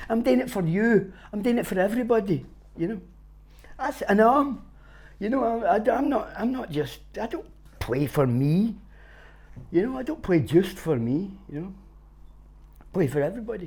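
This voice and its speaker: Long, frequent pauses break up this man's speech in a Glaswegian accent. He keeps a moderate pace at a high pitch, with very wide pitch swings. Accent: Glaswegian Scottish. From Glasgow, Scotland. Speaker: street busker. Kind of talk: interview answer. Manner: casual, sweary.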